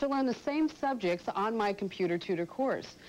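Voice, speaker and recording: A woman speaks at a moderate pace with a medium pitch and lively intonation. She has a normal speaking voice. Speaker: computer instructor, radio talk show host. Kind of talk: TV infomercial pitch.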